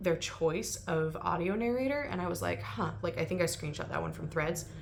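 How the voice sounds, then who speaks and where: The speech comes at a moderate pace amid noticeable background noise and audible room echo. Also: woman. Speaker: booktuber. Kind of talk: casual commentary vlog. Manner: casual, filler-heavy.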